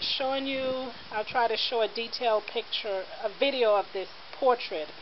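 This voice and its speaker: A woman speaks at a fairly slow pace with ordinary pitch variation. Noticeable background noise is present. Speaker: online vintage seller. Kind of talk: product description for a customer. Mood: warm, admiring. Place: open country.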